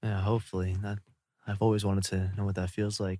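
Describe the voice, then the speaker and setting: A man with a Californian accent, fairly low pitch and a very fast pace, on a very clean recording with a silent background. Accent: Californian American English. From US, Los Angeles Koreatown. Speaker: YouTuber. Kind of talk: casual chat.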